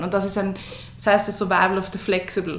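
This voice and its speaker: A woman's medium-pitched voice with audible room echo and noticeable background noise. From Lower Austria, Gumpoldskirchen. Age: 20s. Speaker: female empowerment coach and breathing trainer. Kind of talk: interview.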